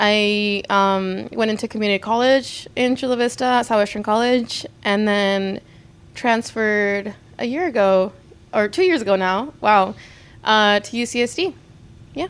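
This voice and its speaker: A woman with a Spanish accent, fairly high in pitch, at a moderate pace. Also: ordinary pitch variation. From US, San Diego area (born in Mexicali, Mexico). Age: 20s. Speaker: art student. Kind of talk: interview. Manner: hesitant, many fillers.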